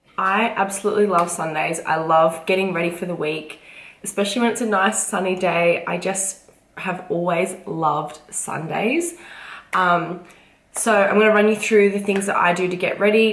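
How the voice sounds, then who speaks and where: A woman's medium-pitched voice at a moderate pace, fairly even in intonation, with audible room echo and noticeable background noise. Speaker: vlogger and fitness competitor. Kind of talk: casual vlog talk to camera.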